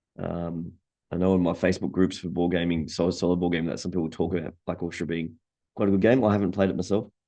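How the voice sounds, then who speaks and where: A man's very deep, low voice in an Australian accent, very fast, with fairly even intonation. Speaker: board game youtuber. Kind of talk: casual product roundup. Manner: hesitant, many fillers.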